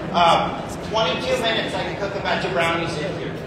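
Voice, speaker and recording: A man talks amid loud background noise and audible room echo. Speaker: executive chef. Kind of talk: sales pitch. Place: hall. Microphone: pa.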